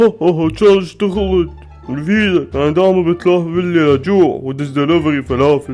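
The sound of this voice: A man speaks in a cartoonish character voice with a fairly high pitch, at a moderate pace, with clear music in the background. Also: ordinary pitch variation.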